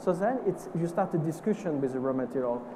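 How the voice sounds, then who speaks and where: A fairly high-pitched man with a French accent, fairly quick and with ordinary pitch variation, amid audible room echo and noticeable background noise. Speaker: perfumer. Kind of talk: panel discussion. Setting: stage with audience. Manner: halting.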